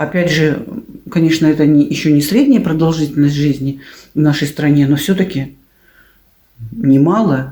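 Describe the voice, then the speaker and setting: With very deep, low pitch and a dark, mellow tone, a woman speaks at a moderate pace. Her pitch variation is ordinary, her loudness very even, and she leaves long, frequent pauses. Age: 60s. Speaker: video blogger. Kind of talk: casual vlog monologue.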